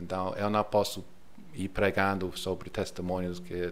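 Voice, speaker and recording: A man with an English accent, very deep and low in pitch, speaking at a fairly slow pace in a flat monotone. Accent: English accent in Portuguese, non-native. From England. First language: English (speaking Portuguese). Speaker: missionary leader. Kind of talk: podcast interview. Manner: halting, searching for words.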